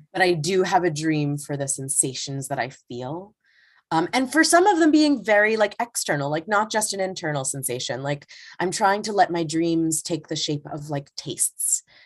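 A woman speaks with lively intonation at a moderate pace in a fairly low voice. The background is quiet. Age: 20s. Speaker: actress and tarot teacher. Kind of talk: casual interview conversation. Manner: hesitant, many fillers.

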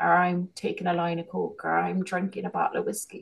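A woman talks in a Kerry accent. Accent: Irish, Kerry. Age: 40s. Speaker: business owner and holistic healer. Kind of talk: casual interview chat.

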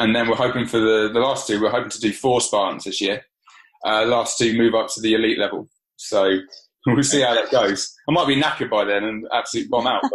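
Using a normal speaking voice, a man talks at a fairly quick pace with a medium pitch and fairly even intonation. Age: 30s. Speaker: strength and conditioning coach. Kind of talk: casual interview.

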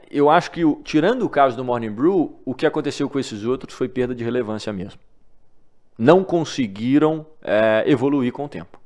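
A man's ordinary speaking voice at a medium pitch and moderate pace, with lively intonation against a quiet background. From Minas Gerais, Brazil (Divinópolis). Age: 20s. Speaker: newsletter founder. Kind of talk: interview conversation.

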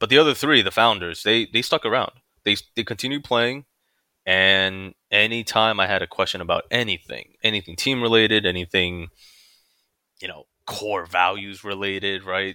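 With a normal speaking voice, a man talks at a moderate pace, his fairly low pitch showing ordinary variation. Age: 30s. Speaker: gaming clan leader. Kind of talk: casual chat. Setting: video call.

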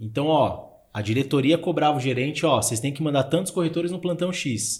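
A man with a fairly high voice rattles along very fast, his pitch varying in an ordinary way. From Brazil, São Paulo (Zona Leste). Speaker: podcast host, real estate. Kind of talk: casual chat.

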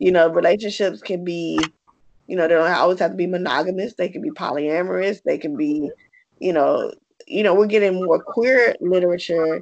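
At a fairly quick pace, a woman with a Southern US accent speaks in a fairly low voice with ordinary pitch variation. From US South. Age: 40s. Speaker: podcast host. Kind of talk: interview; casual monologue.

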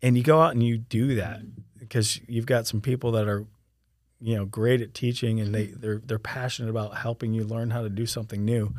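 Over a silent background in a very clean recording, a man talks fairly quickly at a medium pitch, his intonation flat and monotone. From Florida, Sarasota. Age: 40s. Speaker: former professional wakeboarder. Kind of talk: casual interview chat.

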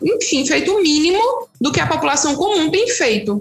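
A woman talks while noticeable background noise plays behind her. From Brazil, Petrolina, Pernambuco. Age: 30s. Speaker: resident doctor. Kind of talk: interview.

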